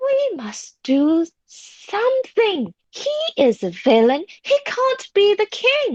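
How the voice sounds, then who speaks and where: A woman does a put-on character voice, squeaky and extremely high in pitch. She talks at a very slow pace with hardly any pauses. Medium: read story. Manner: nervous.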